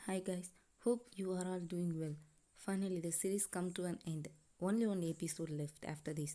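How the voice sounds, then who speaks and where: At a moderate pace, the speaker uses fairly even intonation in a dark, mellow tone. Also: woman. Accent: non-native. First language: not English. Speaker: fan fiction channel creator. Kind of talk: casual intro to viewers.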